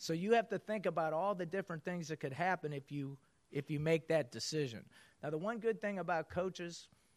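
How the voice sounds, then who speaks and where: A man's plain, everyday voice at a fairly high pitch and moderate pace, with ordinary pitch variation, over a quiet background. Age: 50s. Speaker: basketball coach speaking to business audience. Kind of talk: motivational talk.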